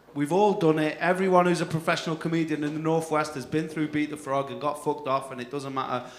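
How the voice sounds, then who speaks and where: A northern English accent amid noticeable background noise and audible room echo. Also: man. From northern England. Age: 30s. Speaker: comedy compere. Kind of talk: stand-up. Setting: stage with audience.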